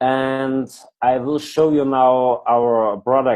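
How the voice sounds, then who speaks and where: A man speaks at a medium pitch with a non-native accent. His pitch varies in an ordinary way. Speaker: product presenter. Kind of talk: online presentation. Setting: video call with screen share. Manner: halting.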